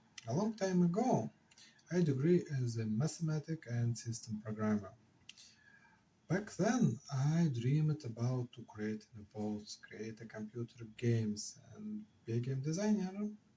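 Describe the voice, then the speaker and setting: A man with an Eastern European accent, his somewhat breathy, medium-pitched voice swinging very widely in pitch at a fairly slow pace. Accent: Slavic. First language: not English. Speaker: software engineer and board game designer. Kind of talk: casual devlog talk to camera.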